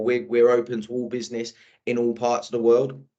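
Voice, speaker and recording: A man with an English accent, medium in pitch. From England, Birmingham. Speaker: sales manager. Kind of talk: podcast interview. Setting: video podcast. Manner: casual, with frequent fillers and repetitions.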